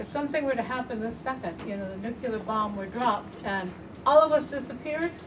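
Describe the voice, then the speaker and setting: A woman's fairly high, very fast voice with lively intonation and big swings in loudness, plus audible room echo and noticeable background noise. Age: 60s. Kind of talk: panel talk.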